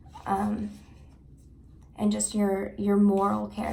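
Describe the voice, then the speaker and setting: Noticeable reverberation from the room surrounds a woman as she talks. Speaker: tarot card reader. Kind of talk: tarot reading to camera. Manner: halting, with fillers and restarts.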